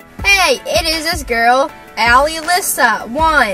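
Faint music plays in the background as a woman uses a raised, projected voice, the sound dry with no echo. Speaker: vlogger. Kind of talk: casual vlog chat. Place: car. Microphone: camera far.

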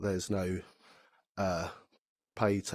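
A man speaks slowly in a low voice with fairly even intonation. The sound is dry and close, with no echo.

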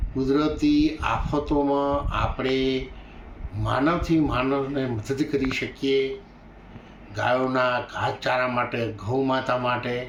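A man's medium-pitched, flat monotone holds very even loudness, with noticeable background noise and audible room echo. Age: 70s. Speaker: religious leader. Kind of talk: interview statement. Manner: halting.

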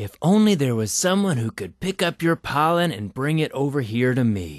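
A man performs a cartoonish character voice. The background is quiet. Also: fairly high pitch for a man, moderate pace. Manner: cheerful, wishful.

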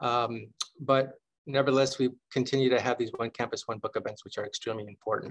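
The man's delivery is monotone and flat. He talks at a very fast pace. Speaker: university library dean hosting event. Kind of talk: formal welcome remarks. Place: office. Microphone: webcam.

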